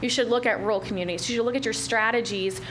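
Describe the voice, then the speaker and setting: A woman talks with ordinary pitch variation. Noticeable background noise and audible room echo are present. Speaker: retail recruitment consultant. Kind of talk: business presentation. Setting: county commission meeting. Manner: fast.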